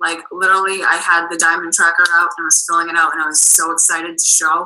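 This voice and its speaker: A woman with a Boston accent talks at a fairly quick pace. Her pitch is fairly low. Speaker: network marketing coach. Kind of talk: video call interview. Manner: animated.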